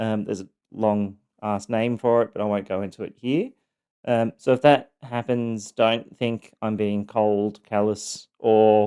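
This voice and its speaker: A man's fairly low, dark and mellow voice, fairly slow and monotone, on a very clean recording with a silent background. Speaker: abuse survivor podcaster. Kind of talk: personal testimony. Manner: halting, many fillers; sometimes monotone, clinical.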